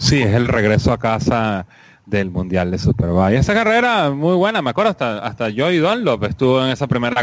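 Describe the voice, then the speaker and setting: With an unremarkable speaking voice, a man speaks at a fairly quick pace and medium pitch, his intonation lively. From Venezuela. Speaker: motorsport podcast co-host. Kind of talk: casual chat.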